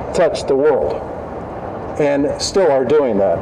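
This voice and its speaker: A man's voice with noticeable background noise and audible room echo. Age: 60s. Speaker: university administrator giving opening remarks. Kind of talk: ceremonial welcome speech. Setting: outdoors with audience. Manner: halting, repeats words.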